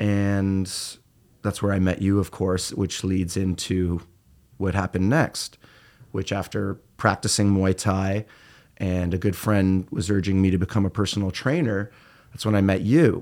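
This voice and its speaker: An unremarkable speaking voice from a man with a Canadian accent, fairly low in pitch, fairly even in intonation, at a fairly slow pace, on a very clean recording with a silent background. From Ontario, Canada (Peterborough, rural). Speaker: fitness trainer and musician. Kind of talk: casual interview conversation.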